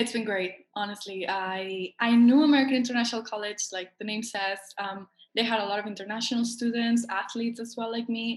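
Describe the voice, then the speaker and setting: Speaking at a fairly quick pace with hardly any pauses, a woman with a Spanish accent uses a fairly high pitch and fairly even intonation. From Spain, Barcelona. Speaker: college tennis player. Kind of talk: interview.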